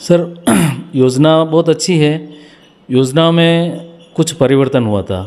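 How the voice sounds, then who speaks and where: A man with a fairly high pitch speaks with ordinary pitch variation and long, frequent pauses. Noticeable background noise runs behind him. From Rajasthan, Udaipur district. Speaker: village council head. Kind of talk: interview.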